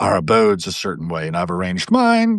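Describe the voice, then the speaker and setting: An unremarkable speaking voice from a man, fairly low in pitch with ordinary variation, at a moderate pace over a quiet background. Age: 60s. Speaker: panel guest. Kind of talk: casual chat.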